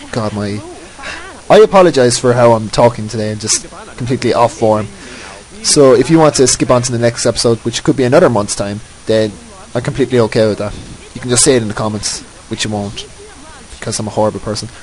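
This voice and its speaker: The speech goes by at a very fast pace with ordinary pitch variation. Noticeable background noise is present. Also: man, medium pitch for a man. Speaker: gaming commentator. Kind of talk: gameplay voice-over commentary. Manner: halting, repeating words.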